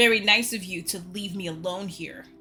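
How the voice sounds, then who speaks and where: A put-on, growling character voice from a woman, medium in pitch with fairly even intonation at a moderate pace, over faint music in the background. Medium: read story. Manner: sullen, defensive.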